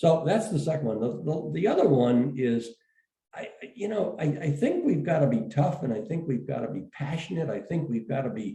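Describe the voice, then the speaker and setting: A man's fairly high, somewhat breathy voice carries a dark, mellow tone and lively intonation. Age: 70s. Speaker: education executive. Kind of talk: interview. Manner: halting, many fillers and repeats.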